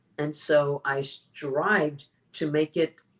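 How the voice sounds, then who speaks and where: A woman with an American accent. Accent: American English, careful diction. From US, Mexican-American family. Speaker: public speaking champion. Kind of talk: interview conversation. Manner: clear careful enunciation.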